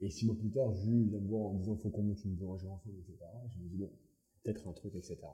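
Talking very fast, a man with a fairly low pitch and a dark, mellow tone sounds somewhat breathy, his loudness swinging widely while his intonation stays fairly even. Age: 20s. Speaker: bakery co-owner. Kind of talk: casual chat.

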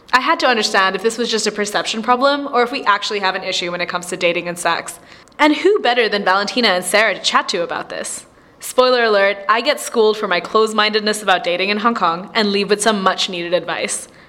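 Over noticeable background noise, a woman rattles along at a very fast pace, medium in pitch with ordinary pitch variation. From Indian heritage. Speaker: podcast host. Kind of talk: casual chat.

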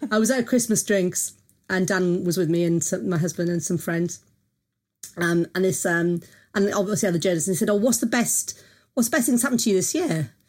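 Lively intonation marks a woman speaking in a South Welsh accent at medium pitch and a very fast pace, her loudness very even, on a very clean recording with a silent background. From South Wales. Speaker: music journalist and critic. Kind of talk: casual interview chat.

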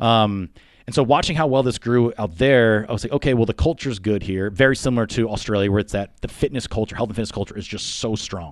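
With an American accent, a man speaks at a medium pitch and a very fast pace. His pitch variation is ordinary. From Pennsylvania, Poconos. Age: 30s. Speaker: fitness gym owner and trainer. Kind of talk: casual interview. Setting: gym.

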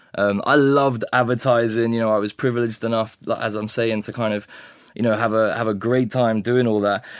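Speaking at a fairly quick pace with a British accent, a man delivers medium-pitched lines in a monotone, flat intonation. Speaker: vicar. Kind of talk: interview answers.

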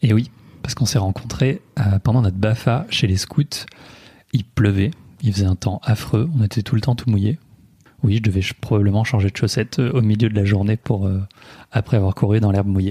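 Speaking at a fairly quick pace with long, frequent pauses, a man uses a somewhat breathy, dark, mellow tone at a fairly low pitch. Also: ordinary pitch variation. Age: 20s. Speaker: digital project manager, host's husband. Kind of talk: casual chat. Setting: home living room.

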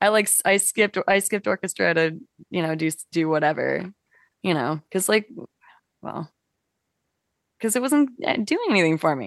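Using lively intonation and vocal fry, a woman with a medium pitch talks at a moderate pace with long, frequent pauses, the sound dry and close with no echo. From Toronto, Canada. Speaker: musician. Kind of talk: casual chat.

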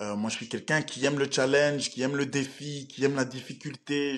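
A man with a fairly high pitch speaks at a moderate pace. The background is quiet. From Belgium. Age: 20s. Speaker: professional MMA fighter. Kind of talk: interview.

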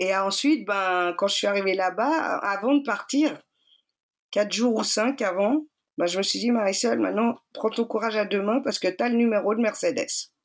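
At a moderate pace, a woman with a fairly high pitch speaks with very even loudness and ordinary pitch variation in a very clean recording with a silent background. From Switzerland, Geneva. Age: 40s. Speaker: energy healer and shaman. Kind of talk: personal testimony. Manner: hesitant with many fillers.

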